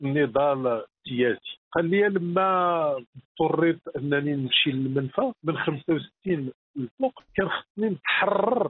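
This man's pitch is fairly high, with ordinary pitch variation. He talks at a fairly slow pace. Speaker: novelist and writer. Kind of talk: interview, reminiscing.

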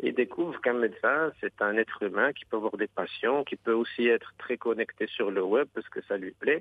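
A man at a moderate pace with hardly any pauses. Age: 40s. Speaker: surgeon. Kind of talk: interview.

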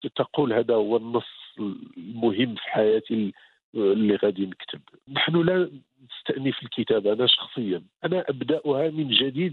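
Speaking at a fairly slow pace, a man with a plain, everyday voice uses lively intonation at a medium pitch. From Morocco, Beni Mellal. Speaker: novelist. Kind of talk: interview.

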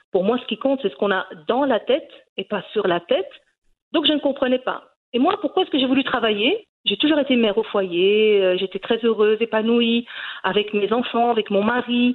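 At a moderate pace, a woman speaks with a fairly high pitch and lively intonation. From Brussels, Belgium, Moroccan parents. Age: 40s. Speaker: cooking YouTuber. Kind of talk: interview. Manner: halting, many repetitions and fillers.

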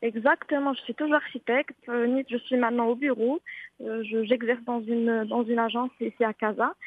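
A woman speaks with a high pitch at a moderate pace. Her intonation stays fairly even. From Morocco, Marrakech. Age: 20s. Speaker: architect and painter. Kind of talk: interview. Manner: halting.

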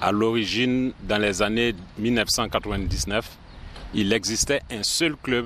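There is noticeable background noise as a man speaks at a fairly low pitch with fairly even intonation. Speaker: film club association president. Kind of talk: interview.

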